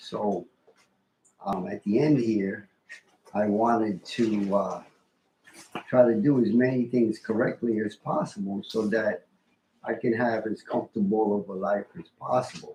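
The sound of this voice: A husky, rough-edged voice with a dark, mellow tone speaks at a fairly slow pace. Intonation stays fairly even, broken by long, frequent pauses. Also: man, fairly low pitch for a man.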